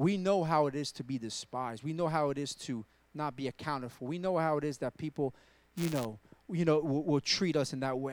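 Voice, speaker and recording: The recording is very clean, with a silent background. A man with a plain, everyday voice speaks fairly quickly, with ordinary pitch variation. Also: fairly high pitch for a man. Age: 40s. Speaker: guest preacher. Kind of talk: sermon; testimony. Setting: church.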